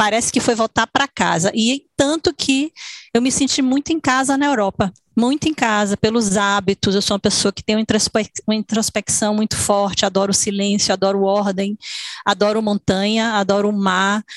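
A woman with a plain, everyday voice and a fairly high pitch talks at a moderate pace with ordinary pitch variation, in a dry, close sound with no echo. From Salvador, Bahia, Brazil. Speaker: dancer and choreographer. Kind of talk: interview.

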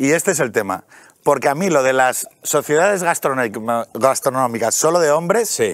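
A man's ordinary speaking voice, with lively intonation at a moderate pace. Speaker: podcaster and author. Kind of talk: casual talk show interview. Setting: TV studio.

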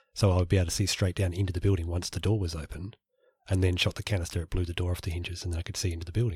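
A very fast, monotone, flat delivery from a man with a very deep, low pitch, somewhat breathy. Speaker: podcast co-host. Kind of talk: casual chat.

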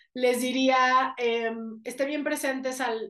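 Against a quiet background, a woman with a Mexican accent talks at a fairly slow pace in a high pitch. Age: 30s. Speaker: life coach and speaker. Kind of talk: interview conversation.

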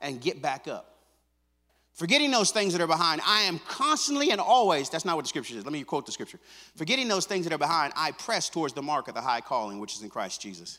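Speaking very fast, a man with a fairly high pitch and a bright, sharp tone shows vocal fry, very wide pitch swings and big swings in loudness. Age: 50s. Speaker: pastor. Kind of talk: sermon.

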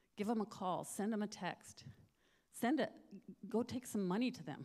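At a moderate pace, a woman speaks in an ordinary speaking voice with a medium pitch. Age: 60s. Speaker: missionary. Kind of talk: testimony. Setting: church.

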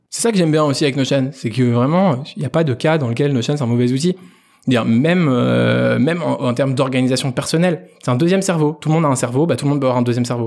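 This man talks at a very fast pace in a medium-pitched voice. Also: ordinary pitch variation. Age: 20s. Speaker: entrepreneur. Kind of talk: interview. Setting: guest's office.

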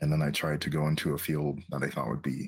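With vocal fry, a man with a very deep, low pitch speaks at a moderate pace. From Quebec. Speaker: psychotherapist. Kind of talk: interview.

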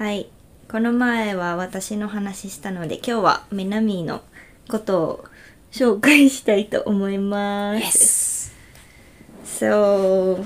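Speaking very slowly in a strong Okinawan accent, a woman uses a medium pitch, a relaxed tone and fairly even intonation, while her loudness swings widely. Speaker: podcast host. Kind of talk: casual chat. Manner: slow, relaxed.

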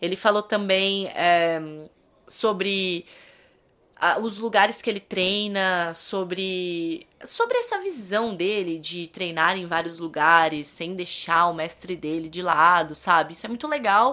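Very slow speech with a bright, sharp tone and ordinary pitch variation, in a very clean recording with a silent background. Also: woman, medium pitch for a woman. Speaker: podcast host. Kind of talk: casual monologue.

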